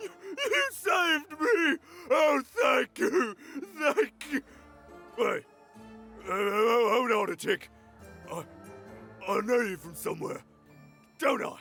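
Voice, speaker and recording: A cartoonish character voice from a man, extremely high and raised, projected, with very wide pitch swings and faint music in the background. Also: fairly slow pace. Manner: nervous, laughing awkwardly.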